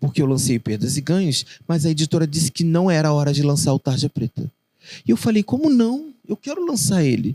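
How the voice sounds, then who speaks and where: A man with a fairly high, somewhat breathy voice and a dark, mellow tone speaks at a fairly quick pace with lively intonation. The sound is dry and close, with no echo. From Rio de Janeiro, Realengo (West Zone). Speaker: poet and children's author. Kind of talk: interview conversation.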